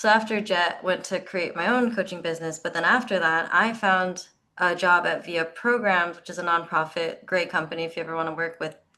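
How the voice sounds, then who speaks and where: At a fairly quick pace, a woman with an American accent speaks in a bright, sharp tone and a fairly low pitch. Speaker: career coach, JET alumna. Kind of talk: panel discussion. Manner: fast.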